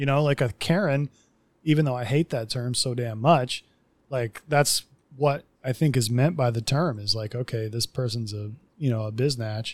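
This man has an unremarkable speaking voice with ordinary pitch variation. He keeps a moderate pace, and the sound is dry and close with no echo. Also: medium pitch for a man. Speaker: podcast host. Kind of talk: casual chat. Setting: remote recording.

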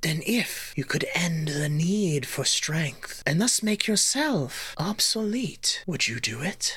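The put-on character voice sits at a middle pitch and moves at a fairly slow pace with hardly any pauses. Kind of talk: fantasy creature roleplay. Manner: calm, probing, questioning.

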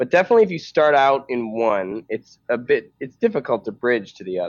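Moderate pace and medium pitch from a male speaker. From Canada, Vancouver area. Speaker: stand-up comedian. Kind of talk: casual chat.

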